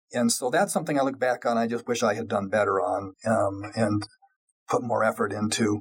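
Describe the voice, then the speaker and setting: In a General American accent, a man with an ordinary speaking voice talks at a fairly quick pace, using a medium pitch and ordinary pitch variation. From Colorado, US. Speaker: tech industry lawyer. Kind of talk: interview.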